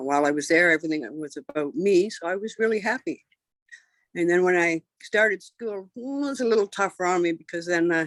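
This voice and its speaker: A woman's plain, everyday voice, fairly low and fairly quick, with lively intonation and a Canadian accent. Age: 60s. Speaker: interviewee. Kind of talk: interview.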